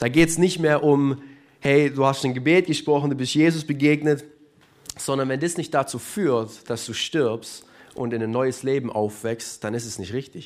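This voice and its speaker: This man has an ordinary speaking voice at a medium pitch. He speaks at a moderate pace with ordinary pitch variation. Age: 20s. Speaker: church youth leader. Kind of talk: sermon. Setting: church service with live audience and livestream.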